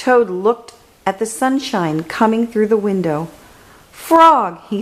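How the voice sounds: This speaker reads in a natural voice, with intonation that moves in a lively way.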